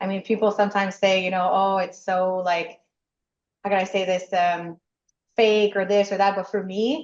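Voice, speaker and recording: The speech is in a Quebec accent with monotone, flat intonation. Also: woman. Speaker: nurse and franchisee. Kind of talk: interview. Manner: loud.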